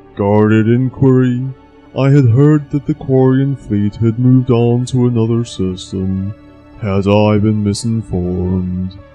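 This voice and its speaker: A man speaks in a put-on character voice at a fairly slow pace. Faint music plays in the background. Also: medium pitch for a man. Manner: monotone, labels emotions aloud.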